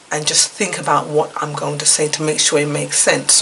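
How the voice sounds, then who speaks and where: There is noticeable background noise. Through it, a woman talks. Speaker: YouTube vlogger sharing life experiences. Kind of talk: casual vlog talk to camera. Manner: hesitant with many fillers.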